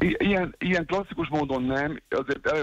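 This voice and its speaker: A man talks at a fairly high pitch with ordinary pitch variation. The sound is dry, with no echo. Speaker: friend of the show reporting from a theatre show. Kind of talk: casual phone chat. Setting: phone call. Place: studio. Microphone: studio mic.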